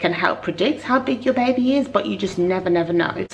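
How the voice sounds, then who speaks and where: There is noticeable background noise behind a woman speaking at a medium pitch. She talks at a fairly quick pace with lively intonation. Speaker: mummy vlogger. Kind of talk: casual talk to camera.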